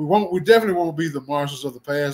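A man with a Mississippi accent talks with ordinary pitch variation. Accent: Southern US (Mississippi). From US South. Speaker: football coach. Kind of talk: interview. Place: home room.

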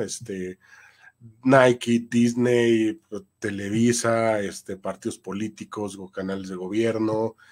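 A man talks at a medium pitch with ordinary pitch variation. It is a normal speaking voice. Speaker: voice-over announcer and voice acting teacher. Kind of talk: interview conversation.

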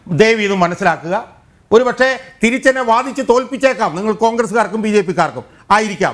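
With ordinary pitch variation, a man talks in an animated tone. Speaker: political commentator. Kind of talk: TV panel debate. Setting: TV studio.

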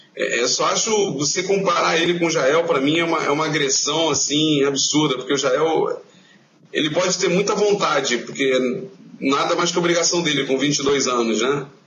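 Noticeable background noise sits behind a man with a fairly high pitch. His loudness stays very even, with ordinary pitch variation. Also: moderate pace. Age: 20s. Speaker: football fan website co-founder. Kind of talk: interview.

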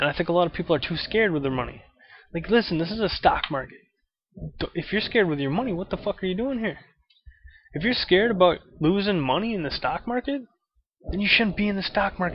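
A man talks at a very fast pace, the sound dry with no echo and light background noise. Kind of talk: casual vlog rant. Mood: blunt, opinionated, mildly annoyed. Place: home room. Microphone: webcam.

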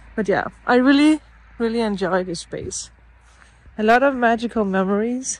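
Recorded dry with no echo, a woman talks at a moderate pace with ordinary pitch variation. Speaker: vlogger. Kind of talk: casual vlog chat. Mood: relaxed, nostalgic. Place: garden. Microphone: phone near.

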